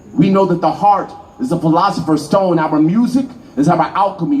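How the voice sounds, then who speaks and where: A man with a high voice talks at a fairly quick pace over noticeable background noise. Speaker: spoken word poet. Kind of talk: live spoken word poetry performance. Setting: live event. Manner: rhythmic, impassioned.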